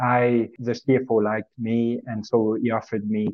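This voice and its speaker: Spoken with a Swiss French accent, the words come at a fairly slow pace with monotone, flat intonation. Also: man. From French-speaking Switzerland. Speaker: corporate treasurer. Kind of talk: podcast interview.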